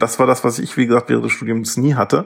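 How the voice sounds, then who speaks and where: Ordinary pitch variation marks the voice. It belongs to a man. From Lower Saxony, Germany. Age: 30s. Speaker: doctoral student in ancient history. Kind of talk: interview. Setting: video call.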